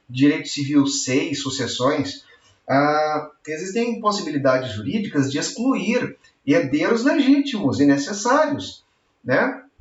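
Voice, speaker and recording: A man's voice with very wide pitch swings. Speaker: law professor. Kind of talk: lecture. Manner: animated.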